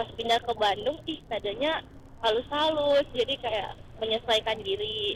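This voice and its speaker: Fairly slow pace with ordinary pitch variation. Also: woman, fairly high pitch for a woman. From Manado, North Sulawesi. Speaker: student, motorbike taxi passenger. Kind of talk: casual chat.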